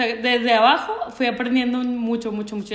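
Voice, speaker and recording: A woman speaks with a Mexican accent at a fairly high pitch, with audible room echo and noticeable background noise. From Mexico. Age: 30s. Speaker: church creative director. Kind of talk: casual interview chat. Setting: remote call.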